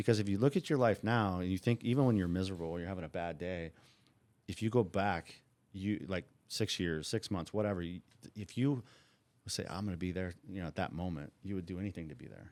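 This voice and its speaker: A man with a Californian accent speaks at a very fast pace in a very deep, low voice with ordinary pitch variation, on a very clean recording with a silent background. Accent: Californian American English. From Southern California (Orange County). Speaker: former bookmaker. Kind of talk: interview. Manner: animated.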